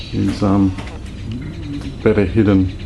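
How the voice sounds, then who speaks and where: A man with an Australian accent speaks quietly at a fairly slow pace, his fairly low voice flat and monotone over noticeable background noise. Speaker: amateur nature videographer. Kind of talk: casual nature vlog. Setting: outdoors in a horse stable.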